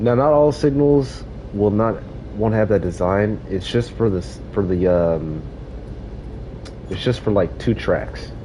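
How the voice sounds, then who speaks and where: Long, frequent pauses mark this man's speech, with noticeable background noise behind him. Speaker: gaming livestreamer. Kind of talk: live gameplay commentary. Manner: casual, halting with fillers.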